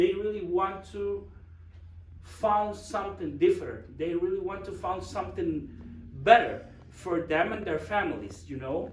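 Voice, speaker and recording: With audible room echo, a man in a Guatemalan accent speaks at a fairly slow pace. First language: Spanish. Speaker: project manager. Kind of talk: presentation. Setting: church forum with audience. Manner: halting.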